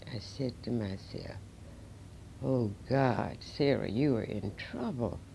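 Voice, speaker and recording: In an American accent, a woman with a very deep, low pitch and a dark, mellow tone talks at a very slow pace with ordinary pitch variation, and audible room echo surrounds her. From North Carolina. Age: 80s+. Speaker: civil rights figure. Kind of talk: interview testimony. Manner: halting.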